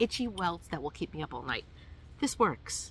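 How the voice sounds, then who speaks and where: A woman talks at a moderate pace with an American accent. Vocal fry runs through her speech. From New York. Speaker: hiking vlogger. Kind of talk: tutorial. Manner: casual, hesitant with many fillers.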